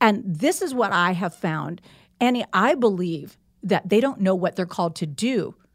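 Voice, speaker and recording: On a very clean recording with a silent background, a woman with an unremarkable speaking voice talks in an American accent. Her pitch is medium, her pace moderate and her intonation lively. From US Midwest, Indiana. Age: 60s. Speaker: author and pastor. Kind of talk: casual interview.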